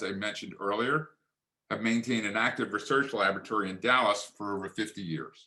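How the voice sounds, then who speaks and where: A man talks at a fairly quick pace with a Philadelphia accent. His tone is bright and sharp. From Philadelphia area, Pennsylvania. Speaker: physician and author. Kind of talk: lecture. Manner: formal.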